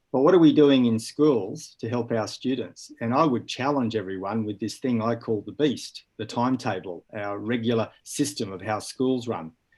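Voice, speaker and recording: Hardly pausing, a man with an Australian accent talks at a moderate pace in a medium pitch with ordinary pitch variation. The background is quiet. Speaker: school educator. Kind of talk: panel discussion.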